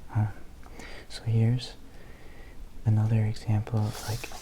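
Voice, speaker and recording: Soft-spoken voice amid noticeable background noise. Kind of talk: casual ramble to camera about favorite CDs. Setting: ASMR video.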